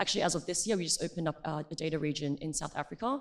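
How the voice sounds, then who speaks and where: Speaking with an Australian accent, a woman has a very deep, low voice. The recording is very clean, with a silent background. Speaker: tech company partnerships manager. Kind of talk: conference panel discussion.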